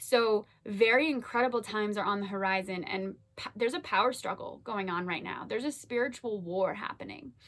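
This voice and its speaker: Speaking at a fairly quick pace with hardly any pauses, a woman uses a fairly high pitch and ordinary pitch variation over noticeable background noise. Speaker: spiritual vlogger. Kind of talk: casual monologue to camera. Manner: fast; animated.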